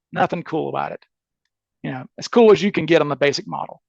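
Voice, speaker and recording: An animated man with lively intonation, recorded dry and close with no echo. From US South, Mississippi. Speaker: criminal defense attorney and amateur case researcher. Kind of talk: podcast interview. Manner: fast.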